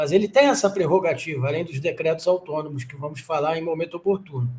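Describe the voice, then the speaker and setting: This man talks with lively intonation. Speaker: exam-prep law teacher. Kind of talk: lecture. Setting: live stream.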